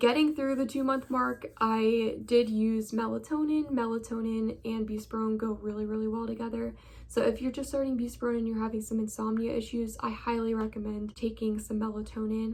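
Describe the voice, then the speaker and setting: A woman talks at a fairly quick pace with hardly any pauses, her fairly high voice somewhat breathy and her intonation monotone and flat. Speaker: vlogger sharing mental health journey. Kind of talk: casual vlog monologue. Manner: casual, uses filler words.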